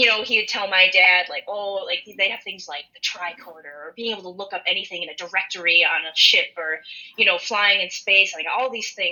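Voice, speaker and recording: The voice comes at a fairly quick pace with a Minnesotan accent. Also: woman. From rural western Minnesota. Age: 20s. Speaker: podcast co-host. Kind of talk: casual chat. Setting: online call.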